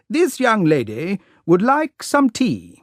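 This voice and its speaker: A man's put-on character voice, high in pitch with very wide pitch swings, at a fairly slow pace. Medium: read story. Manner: flustered, exclamatory.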